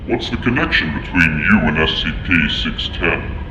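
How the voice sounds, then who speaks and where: A man does a put-on character voice at a moderate pace. Loud background noise and a clear echo fill the recording. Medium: audio drama. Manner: formal, clinical.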